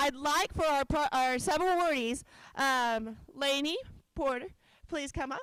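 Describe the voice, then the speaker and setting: A woman talks loudly at a moderate pace in a high pitch. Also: ordinary pitch variation. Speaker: organization director. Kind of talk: conference presentation. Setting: conference hall with audience.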